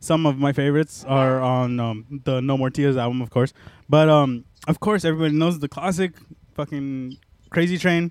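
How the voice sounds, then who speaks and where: With an unremarkable speaking voice, a man talks at a moderate pace using ordinary pitch variation. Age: 20s. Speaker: podcast host, metal music show. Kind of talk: casual chat.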